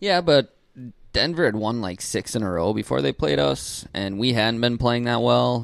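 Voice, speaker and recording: Pitched fairly low, a man with an American accent speaks with very wide pitch swings. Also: moderate pace. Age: 20s. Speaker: sports podcast co-host. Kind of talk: casual chat.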